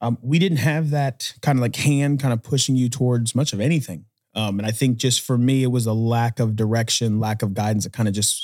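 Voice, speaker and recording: At a moderate pace, a man with an American accent speaks in a normal speaking voice at a medium pitch with ordinary pitch variation. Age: 30s. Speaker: Marine veteran and realtor. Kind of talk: casual chat. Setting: studio.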